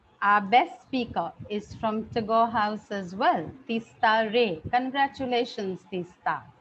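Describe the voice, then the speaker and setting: Somewhat breathy, lively intonation, a very slow pace and hardly any pauses. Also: woman, fairly high pitch for a woman. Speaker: school principal. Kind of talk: prize-giving speech.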